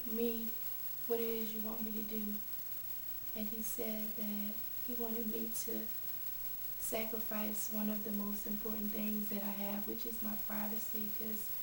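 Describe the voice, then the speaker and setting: There is noticeable background noise as a woman speaks at a moderate pace and a fairly high pitch. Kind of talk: personal testimony talk to camera.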